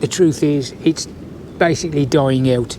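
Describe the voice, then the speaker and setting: There is noticeable background noise as a man speaks with a West Midlands accent. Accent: West Midlands (yam yam). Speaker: YouTuber, army veteran explaining local history. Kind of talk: casual explainer video monologue. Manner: hesitant, many fillers (uh, um).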